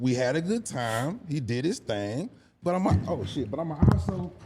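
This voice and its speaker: His pitch leaps dramatically up and down as this man talks at an even, medium speed, with background noise clearly audible. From Houston, Texas. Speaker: hip-hop artist and content creator. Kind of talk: casual podcast interview. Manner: animated.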